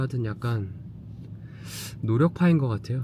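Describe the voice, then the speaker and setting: A man's somewhat breathy voice at medium pitch, with ordinary pitch variation and a moderate pace. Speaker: home shopping show host. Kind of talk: casual vlog narration.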